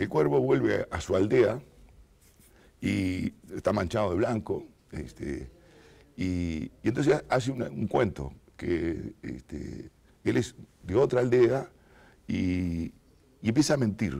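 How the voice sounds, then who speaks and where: A man speaks at a very slow pace with long, frequent pauses and vocal fry. His fairly low, dark, mellow voice moves in very wide pitch swings. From Uruguay, Montevideo; Uruguay. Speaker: writer; interviewee. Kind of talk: interview. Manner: halting, many fillers. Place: studio. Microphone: lapel.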